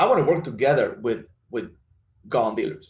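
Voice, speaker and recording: Speaking at a moderate pace, the voice comes across somewhat breathy. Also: man. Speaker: gun violence prevention advocate, bereaved father. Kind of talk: press conference speech. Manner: halting.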